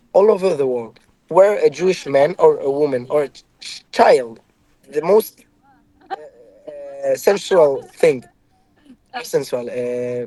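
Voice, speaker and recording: A man with an Israeli accent talks at a very slow pace and fairly high pitch, leaving long, frequent pauses. His intonation is lively, and his loudness swings widely. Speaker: ex-soldier. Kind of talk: heated debate. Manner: halting.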